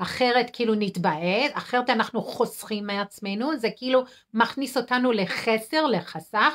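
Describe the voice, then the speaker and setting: A woman speaks at a fairly high pitch. The background is quiet. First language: English (speaking Hebrew). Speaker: nurse and food addiction counselor; healthy eating coach. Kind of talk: weekly live video talk. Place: home room. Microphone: phone near.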